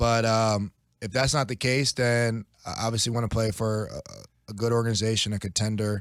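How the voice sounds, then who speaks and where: In a plain, everyday voice with an American accent, a man speaks at a medium pitch and moderate pace with fairly even intonation on a very clean recording with a silent background. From South Jersey, US. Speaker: professional football player. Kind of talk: podcast interview. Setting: studio.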